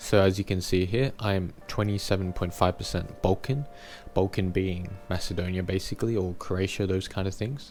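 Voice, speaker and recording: Over music in the background, a man with an Australian accent speaks at a very deep, low pitch. He keeps a moderate pace and fairly even intonation. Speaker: YouTuber. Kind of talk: personal vlog monologue.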